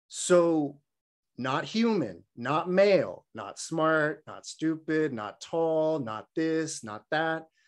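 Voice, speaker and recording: Against a quiet background, a man with a Californian accent speaks very slowly at a fairly high pitch, with lively intonation and big swings in loudness. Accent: Californian American English. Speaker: Buddhist dharma teacher. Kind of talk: dharma talk. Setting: online video session. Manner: humorous storyteller; casual, frequent filler words.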